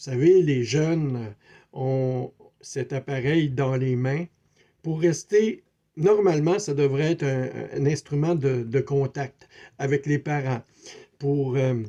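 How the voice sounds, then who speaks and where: Very slow and marked by long, frequent pauses, a man with a Quebec accent speaks in a dark, mellow tone at a fairly high pitch with ordinary pitch variation. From Quebec City, Canada. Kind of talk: spiritual video talk. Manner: hesitant, many fillers; repetitive, conversational.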